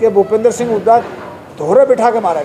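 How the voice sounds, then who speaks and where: A man with a high pitch is heard over noticeable background noise. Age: 70s. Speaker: politician. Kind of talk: press interview.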